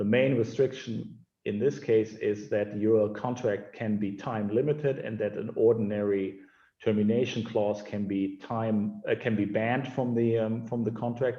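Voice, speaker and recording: A man with a German accent speaks at a medium pitch with fairly even intonation. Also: moderate pace. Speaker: sports lawyer. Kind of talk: webinar interview. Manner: halting, many fillers.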